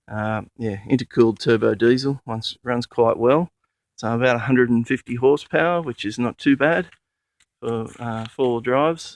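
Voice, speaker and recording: Against a quiet background, a man with an Australian accent speaks at a moderate pace. His medium-pitched voice sounds dry and close, with no echo. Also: ordinary pitch variation. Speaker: four-wheel drive enthusiast. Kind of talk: casual vehicle walkaround talk to camera. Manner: hesitant, many fillers.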